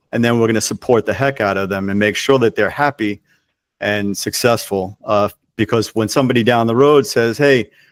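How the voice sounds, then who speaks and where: A man with a normal speaking voice, medium pitch and fairly even intonation, in a dry, close sound with no echo. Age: 60s. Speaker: cooking school co-founder and franchisor. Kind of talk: interview conversation.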